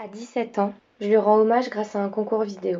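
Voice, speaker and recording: Her delivery is fairly quick and monotone, flat in intonation, as a woman speaks at a medium pitch. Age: 20s. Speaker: student filmmaker. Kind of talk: scripted narration.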